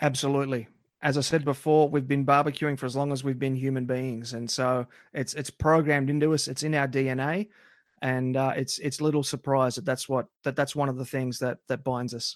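A medium-pitched man with an Australian accent, fairly quick and monotone, on a very clean recording with a silent background. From Australia, country towns. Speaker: barbecue podcast host. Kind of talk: casual interview.

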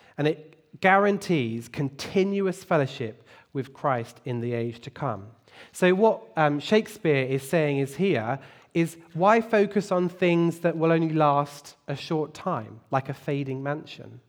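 A man speaks at a fairly slow pace in a fairly high pitch, with lively intonation. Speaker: lay preacher. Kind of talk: sermon. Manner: enthusiastic.

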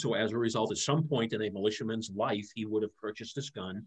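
A man with an unremarkable speaking voice talks at a fairly quick pace with ordinary pitch variation against a quiet background. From Massachusetts, Merrimack Valley. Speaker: historian and author. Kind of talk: interview, casual history chat. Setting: live video stream.

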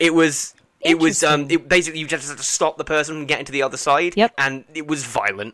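A man's fairly high voice with an English accent at a very fast pace. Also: ordinary pitch variation. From England. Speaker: podcast host. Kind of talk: casual chat.

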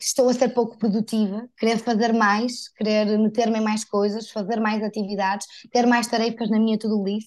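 A woman talks in a northern Portuguese accent. Her pitch is fairly high, and the background is quiet. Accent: northern Portuguese (Porto), unchanged. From northern Portugal, Porto. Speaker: digital content creator and speaker. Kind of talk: interview, casual conversation.

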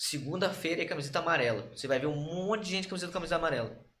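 A man's voice with audible room echo. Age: 20s. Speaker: professional Muay Thai fighter. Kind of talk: casual chat.

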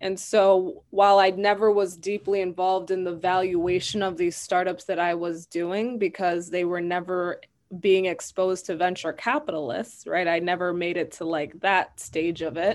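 A woman with an American accent has an ordinary speaking voice at a medium pitch. She talks at a moderate pace with fairly even intonation and hardly any pauses. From US Midwest, Madison, Wisconsin. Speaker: venture capital professional. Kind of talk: interview.

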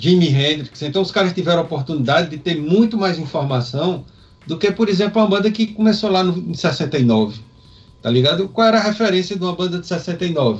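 A man speaks fairly quickly with a high pitch. His intonation is lively. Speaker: rock podcast co-host. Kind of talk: casual chat.

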